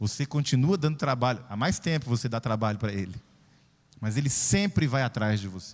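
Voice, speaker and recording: A man at medium pitch, animated in tone, with lively intonation and a moderate pace. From Brazil, southern Pará and Belo Horizonte. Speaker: pastor. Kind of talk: sermon. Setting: church.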